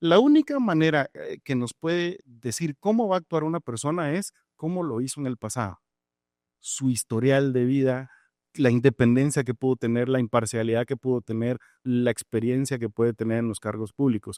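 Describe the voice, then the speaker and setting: A man's normal speaking voice at medium pitch and moderate pace, with ordinary pitch variation, a dry, close sound with no echo, and a very clean recording with a silent background. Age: 40s. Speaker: judge and judicial candidate. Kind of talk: interview answers. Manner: measured, formal.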